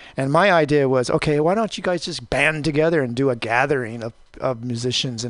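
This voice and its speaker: A man with an unremarkable speaking voice talks at a fairly quick pace with ordinary pitch variation against a quiet background. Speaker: magazine publisher. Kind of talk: interview. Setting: studio.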